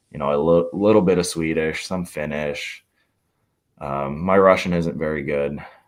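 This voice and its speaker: Amid audible room echo, a man with a very deep, low pitch speaks at a moderate pace and fairly even intonation. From Hungary and Austria. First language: Hungarian. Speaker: hockey player. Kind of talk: podcast interview.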